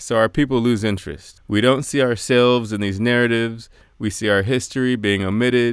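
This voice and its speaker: In an American accent and a plain, everyday voice, a man talks at a fairly quick pace with a medium pitch and fairly even intonation. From United States. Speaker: radio commentator. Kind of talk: scripted commentary.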